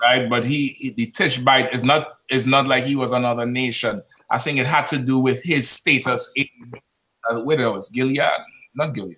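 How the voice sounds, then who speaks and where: A man at a moderate pace and medium pitch, with a plain, everyday voice. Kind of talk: live call-in debate discussion. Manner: argumentative, dismissive.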